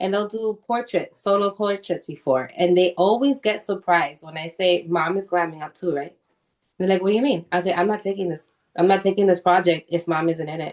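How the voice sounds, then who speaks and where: Speaking at a fairly quick pace, a woman with an American accent uses a medium pitch and ordinary pitch variation. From New York. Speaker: photographer. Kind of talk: casual chat. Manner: animated.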